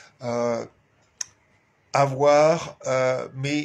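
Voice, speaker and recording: His intonation stays fairly even. The man's voice has a medium pitch. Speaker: activist clown and live show host. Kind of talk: weekly live stream address. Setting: home live stream with flag behind. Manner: halting, many fillers.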